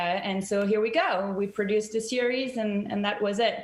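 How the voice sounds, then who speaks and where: Speaking with a strong French accent, a woman at medium pitch talks at a moderate pace with fairly even intonation, amid noticeable background noise and audible room echo. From France. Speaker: TV documentary director and producer. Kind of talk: interview on video call. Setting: video call.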